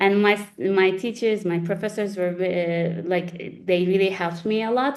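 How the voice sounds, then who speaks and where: With a Turkish accent, a woman talks in fairly even intonation with hardly any pauses against a quiet background. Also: medium pitch for a woman, fairly slow pace. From Turkey, Istanbul. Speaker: lawyer. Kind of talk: interview. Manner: halting, many restarts and fillers.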